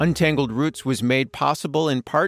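A man with an American accent and an ordinary speaking voice talks at a fairly quick pace, his pitch fairly high with ordinary variation. The recording is very clean and dry, close with no echo and a silent background. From US Midwest (Minneapolis, south side). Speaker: podcast co-host. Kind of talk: scripted narration.

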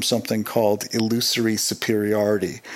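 This man talks in a plain, everyday voice at a moderate pace. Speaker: listener contributor. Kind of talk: recorded listener story.

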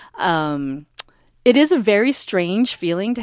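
A woman with an American accent speaks in very wide pitch swings. The recording is very clean, dry, and close, with a silent background and no echo. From North Dakota, US. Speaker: taiko drummer. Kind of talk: interview.

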